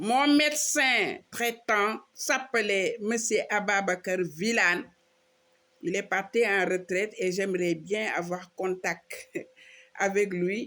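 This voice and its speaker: The voice has a bright, sharp tone and ordinary pitch variation at a very slow pace, on a very clean recording with a silent background. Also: woman, medium pitch for a woman. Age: 60s. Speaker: social media preacher. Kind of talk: personal video monologue mixing French and Wolof.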